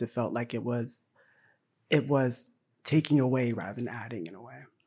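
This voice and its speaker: A man with an American accent, a dark, mellow tone and fairly even intonation. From US South, Tennessee. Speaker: film director and poet. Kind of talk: panel discussion.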